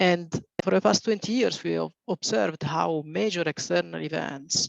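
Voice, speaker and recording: The sound is dry and close with no echo as a man speaks in an Italian accent. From Italy. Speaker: reinsurance executive. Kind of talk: webinar presentation.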